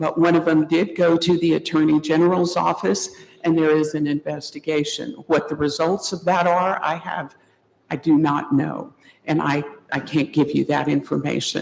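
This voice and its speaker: The speaker has an American accent and vocal fry. The pace is moderate and the intonation fairly even. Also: woman, very deep, low pitch for a woman. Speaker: public commenter at county meeting. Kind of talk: public comment.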